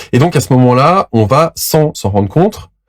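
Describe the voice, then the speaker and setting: Lively intonation from a man. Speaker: relationship coach. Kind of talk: educational monologue. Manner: fast.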